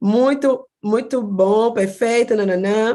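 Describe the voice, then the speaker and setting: A woman's voice sits at a fairly high pitch with ordinary pitch variation. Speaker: psychologist teaching online class. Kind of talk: online lecture.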